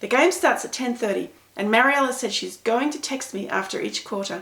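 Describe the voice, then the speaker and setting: In a put-on character voice with an Australian accent, a woman talks fairly quickly in a raspy, high pitch. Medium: read story. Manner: warm, animated.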